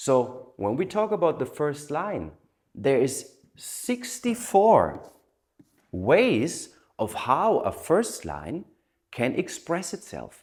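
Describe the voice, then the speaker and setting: On a very clean recording with a silent background, a man with a non-native accent speaks at a very slow pace. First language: not English. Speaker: human design teacher. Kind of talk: lecture.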